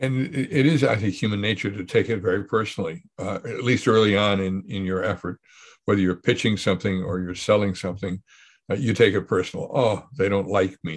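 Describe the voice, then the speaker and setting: A man with an ordinary speaking voice, fairly low in pitch, talks at a fairly quick pace with ordinary pitch variation on a very clean recording, silent background. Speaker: podcast host. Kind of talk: casual conversation.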